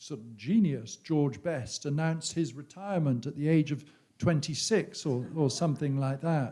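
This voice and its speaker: At a moderate pace, a man with a fairly high pitch and a dark, mellow, somewhat breathy tone speaks with ordinary pitch variation and big swings in loudness. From England. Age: 60s. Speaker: author. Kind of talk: on-stage conversation. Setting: stage with audience. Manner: halting.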